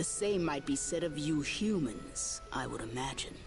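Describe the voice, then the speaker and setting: A put-on character voice at a moderate pace over clear music in the background. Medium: video game. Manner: formal, archaic, measured.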